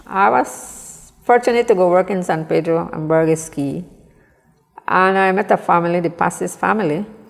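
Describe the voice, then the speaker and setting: A fairly low-pitched woman at a moderate pace, with ordinary pitch variation. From Belize, Mopan Maya village of San Antonio. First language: Mopan Maya. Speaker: small business owner. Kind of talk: interview. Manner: halting.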